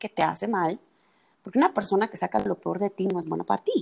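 A woman talks at a fairly quick pace with medium pitch and vocal fry. The sound is dry and close, with no echo. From El Salvador. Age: 20s. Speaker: psychologist. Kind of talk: casual chat.

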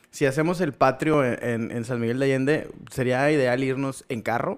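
A man talks at a moderate pace in an unremarkable speaking voice with fairly high pitch. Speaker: podcast co-host. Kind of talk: casual chat.

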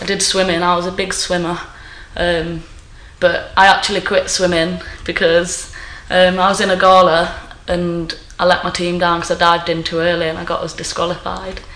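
With an East Midlands accent, a woman speaks at a moderate pace and a fairly low pitch, her intonation monotone and flat, over noticeable background noise. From Nottingham, East Midlands. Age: 20s. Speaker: postal worker. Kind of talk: casual chat.

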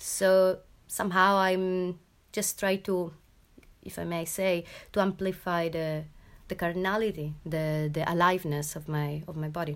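A woman speaks at a fairly slow pace in a fairly low pitch, with monotone, flat intonation. The recording is very clean, and the background is silent. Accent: Italian. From Italy. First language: Italian. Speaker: performance artist and choreographer. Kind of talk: interview. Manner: halting.

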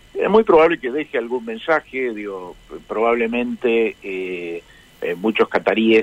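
The pace is very slow as this man talks. His recording sounds dry and close, free of any echo. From Argentina, San Francisco (Córdoba). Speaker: ambassador. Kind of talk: interview. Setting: phone call. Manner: hesitant, many fillers.

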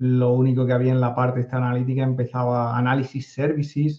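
Somewhat breathy, this man talks in a medium pitch. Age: 50s. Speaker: data analytics consultant. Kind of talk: interview.

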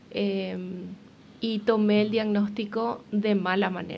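A woman talks here. Her voice sits fairly high, and her intonation is fairly even. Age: 40s. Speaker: athlete and motivational speaker with multiple sclerosis. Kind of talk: interview testimony.

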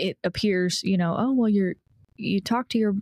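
A woman talks in a plain, everyday voice at a moderate pace, medium in pitch with ordinary pitch variation. The recording is very clean with a silent background. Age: 30s. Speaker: podcast co-host, adoptee. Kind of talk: casual chat.

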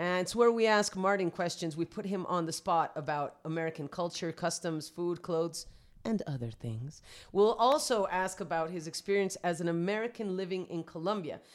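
At a moderate pace, a woman with a plain, everyday voice speaks at a fairly low pitch with ordinary pitch variation on a very clean recording with a silent background. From Vancouver, Canada, to Colombian parents. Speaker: podcast co-host. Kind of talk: bilingual casual chat.

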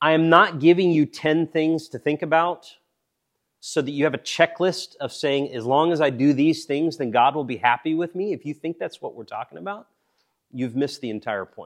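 Over a quiet background, a man with a plain, everyday voice talks at a moderate pace in a fairly high pitch, his loudness swinging widely in a dry, close sound with no echo. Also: ordinary pitch variation. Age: 40s. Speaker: pastor or Bible teacher. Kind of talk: sermon.

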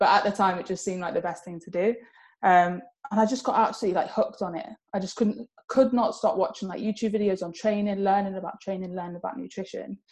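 The speaker talks at a very fast pace and sounds somewhat breathy. Loudness swings widely. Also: woman, medium pitch for a woman, fairly even intonation. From Spain (English expat upbringing). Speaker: online fitness coach and figure competitor. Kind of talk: casual interview chat.

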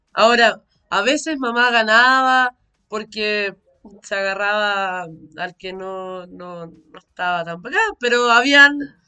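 A woman talks very slowly in a Chilean accent, her pitch fairly high. Her loudness swings widely while her pitch varies in an ordinary way. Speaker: podcast co-host. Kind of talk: casual chat.

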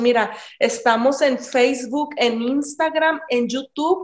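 A woman's high pitch with ordinary pitch variation. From Mexico, Ciudad Juárez. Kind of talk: interview. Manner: halting.

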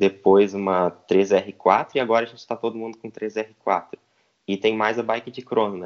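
A man's fairly low voice at a moderate pace, monotone and flat in intonation, with big swings in loudness. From southern Brazil, Rio Grande do Sul (Santa Cruz do Sul). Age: 20s. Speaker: professional cyclist. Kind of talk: interview.

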